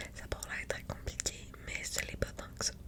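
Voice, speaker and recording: Whispered female speech against noticeable background noise. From Quebec. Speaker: ASMR content creator. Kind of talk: ASMR soft-spoken astrology explanation. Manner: soft-spoken, friendly.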